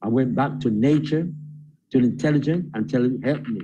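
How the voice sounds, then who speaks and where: This man's voice has vocal fry and a dark, mellow tone. The pitch moves in an ordinary way. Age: 70s. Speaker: spiritual teacher. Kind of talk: interview.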